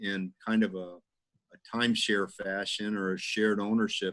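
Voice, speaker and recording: A plain, everyday voice from a man with fairly low pitch at a moderate pace. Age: 60s. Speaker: engineer and developer. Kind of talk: casual interview.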